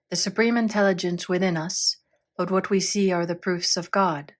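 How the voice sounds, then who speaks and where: A woman at medium pitch and moderate pace, an ordinary speaking voice, in a very clean recording with a silent background. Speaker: audiobook narrator. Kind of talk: audiobook reading of a spiritual text.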